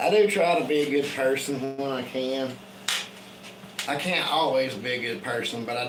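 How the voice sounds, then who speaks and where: With a Southern US accent, a man speaks at a moderate pace and medium pitch with ordinary pitch variation, amid noticeable background noise and audible room echo. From Tennessee. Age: 40s. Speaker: woodworking livestreamer. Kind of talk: casual chat. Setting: live stream.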